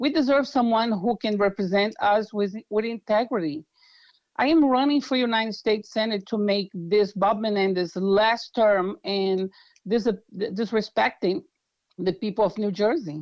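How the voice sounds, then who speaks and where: A woman with a Brazilian accent, fairly high pitch, moderate pace, ordinary pitch variation and very even loudness against a quiet background. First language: Portuguese. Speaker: political candidate. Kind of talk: interview. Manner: halting.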